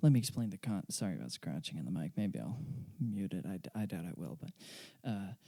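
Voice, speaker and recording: A soft-spoken man talks very fast at a fairly low pitch, in a dark, mellow tone with vocal fry. His pitch swings very widely, and the sound is dry and close with no echo. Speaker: podcast host and amateur pianist. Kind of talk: casual solo monologue. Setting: home at night, late. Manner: halting, many fillers.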